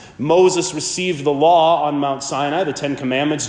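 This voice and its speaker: The man's pitch is fairly high, and he speaks at a moderate pace. The recording carries audible room echo and noticeable background noise. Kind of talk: sermon.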